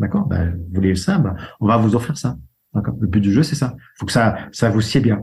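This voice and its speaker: A man's fairly low, somewhat breathy voice at a fairly quick pace, with ordinary pitch variation. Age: 60s. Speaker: insurance broker. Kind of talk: interview.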